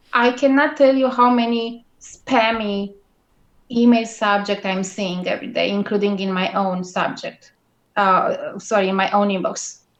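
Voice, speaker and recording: A woman with a strong Romanian accent, fairly high pitch, ordinary pitch variation and fairly slow pace. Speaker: guest blogging expert. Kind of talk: interview. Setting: live video call.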